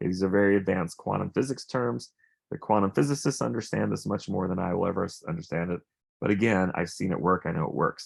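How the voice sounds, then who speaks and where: The speaker talks very fast with lively intonation and vocal fry. The recording is very clean, with a silent background. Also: man, very deep, low pitch for a man. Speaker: wellness device presenter. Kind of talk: product demonstration.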